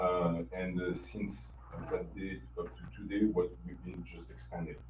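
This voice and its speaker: Speaking in a French accent at a fairly slow pace, a man with a very deep, low pitch makes very wide pitch swings and big swings in loudness, with audible room echo. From France. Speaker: company infrastructure executive. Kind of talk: business presentation. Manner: hesitant, many fillers.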